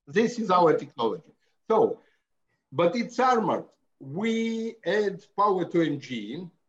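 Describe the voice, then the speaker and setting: With lively intonation and long, frequent pauses, a man talks at a high pitch. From Latvia. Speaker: car builder. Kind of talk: casual interview. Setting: remote call at 2am from home. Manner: halting.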